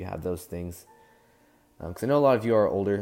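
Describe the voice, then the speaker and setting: Ordinary pitch variation, with music in the background. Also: man. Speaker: fan-series creator and voice actor. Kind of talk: casual talk to camera.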